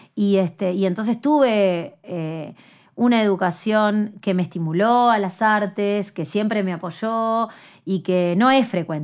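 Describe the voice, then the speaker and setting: On a very clean recording with a silent background, a woman with a Uruguayan accent speaks at a very slow pace, with medium pitch and ordinary pitch variation. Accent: Uruguayan Rioplatense Spanish. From Uruguay, city of Canelones. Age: 30s. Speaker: singer and artist. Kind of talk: interview conversation. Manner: halting, many fillers.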